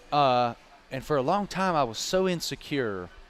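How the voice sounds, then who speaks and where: A man with a Southern US accent talks at a fairly high pitch, his voice making very wide pitch swings. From Virginia, US South. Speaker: sports reporter. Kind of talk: casual interview chat.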